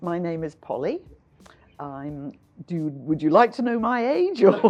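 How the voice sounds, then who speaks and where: A woman with a Scottish accent speaks at a fairly slow pace and a fairly low pitch, leaving long, frequent pauses. Her pitch swings very widely, and her loudness shifts a lot. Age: 70s. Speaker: volunteer. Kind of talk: interview.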